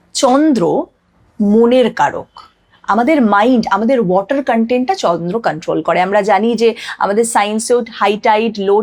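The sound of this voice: A woman talks at a fairly high pitch with ordinary pitch variation. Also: slightly mellow tone.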